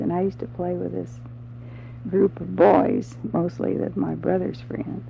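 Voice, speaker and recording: A woman's very deep, low voice with lively intonation at a fairly slow pace, over noticeable background noise. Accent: Midwestern American. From Wabash, Indiana. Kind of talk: interview answer.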